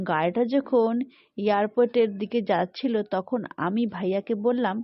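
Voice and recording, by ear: Text read aloud in a natural voice.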